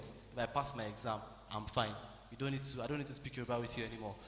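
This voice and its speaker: A man's voice with fairly even intonation over noticeable background noise. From Nigeria, Abuja. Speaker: medical student. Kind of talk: testimony. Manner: halting.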